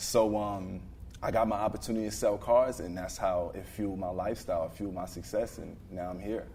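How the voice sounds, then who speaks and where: A man with a Brooklyn accent talks in a fairly low, dark, mellow tone with fairly even intonation and audible room echo. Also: fairly quick pace. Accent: Brooklyn New York. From Brooklyn, New York. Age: 20s. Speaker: car dealership owner, entrepreneur. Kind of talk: podcast interview. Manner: fluent, talkative.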